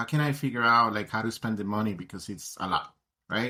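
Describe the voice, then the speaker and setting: With a Colombian accent, the speaker has a bright, sharp tone and ordinary pitch variation. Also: man. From Colombia, Bogotá. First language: Spanish. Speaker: tech education advocate. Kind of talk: interview.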